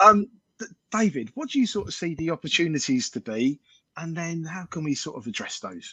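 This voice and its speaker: With a London accent, a man speaks at a fairly quick pace in a high, bright, sharp voice, using very wide pitch swings and big swings in loudness, in a dry, close sound with no echo. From London, Enfield. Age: 40s. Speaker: panel discussion host. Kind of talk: panel discussion. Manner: hesitant, many fillers.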